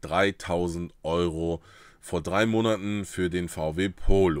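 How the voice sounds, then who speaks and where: The tone is animated, and the pitch varies in an ordinary way. The sound is dry with no echo against a quiet background. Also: man. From northern Germany, Uelzen; northern Germany. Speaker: YouTuber on trading card games; card game content creator. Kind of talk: casual vlog storytelling. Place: home room.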